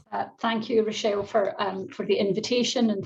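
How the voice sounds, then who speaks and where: Speaking with a Scottish accent, a woman has a somewhat breathy, medium-pitched voice with ordinary pitch variation. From Scotland, Glasgow. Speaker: professor. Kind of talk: keynote lecture. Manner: fast when excited.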